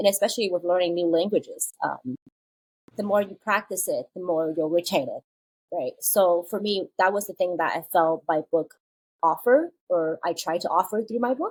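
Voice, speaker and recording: This woman speaks at a moderate pace in a Chinese accent, her pitch medium with ordinary variation. The sound is dry and close, with no echo. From China, moved to US at eleven. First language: Mandarin Chinese. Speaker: children's book author. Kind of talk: podcast interview. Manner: casual, with many fillers.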